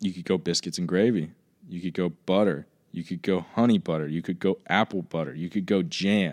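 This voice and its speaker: A man with an American accent speaks at a fairly quick pace in a very deep, low voice. The recording is very clean, with a silent background. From Southwest Virginia, US South. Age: 20s. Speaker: college student, actor. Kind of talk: casual chat. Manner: animated.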